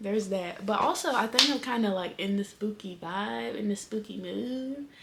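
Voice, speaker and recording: A woman talks at a moderate pace and a fairly high pitch, with noticeable background noise. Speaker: book vlogger. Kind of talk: casual vlog chat. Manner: whispering.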